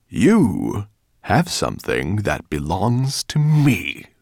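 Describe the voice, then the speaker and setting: A man growls in a put-on character voice at medium pitch. He speaks at a very slow pace. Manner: growling, menacing.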